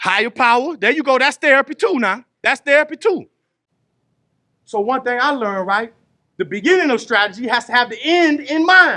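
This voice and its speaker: At a moderate pace, a man with an extremely high pitch uses a raised, projected voice, bright and sharp in tone, with animated delivery and lively intonation. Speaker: re-entry program facilitator, formerly incarcerated. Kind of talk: group workshop talk. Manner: animated, conversational; loud.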